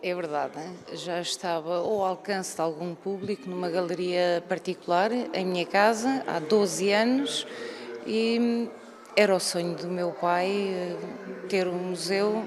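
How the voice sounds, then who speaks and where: A woman's medium-pitched voice with ordinary pitch variation at a fairly slow pace, over noticeable background noise. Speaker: radio collector, museum co-founder. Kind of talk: TV interview.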